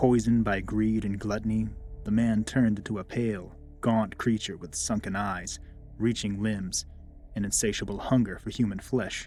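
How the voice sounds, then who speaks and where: Music plays in the background as a man with a fairly low pitch and fairly even intonation speaks at a moderate pace. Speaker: horror story narrator. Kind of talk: horror story narration.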